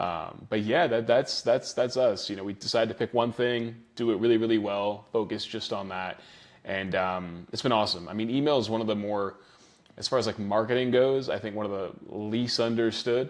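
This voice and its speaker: With an American accent and a plain, everyday voice, a man talks at a moderate pace, medium in pitch, with fairly even intonation. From New Zealand. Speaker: email marketing agency owner. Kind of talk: interview.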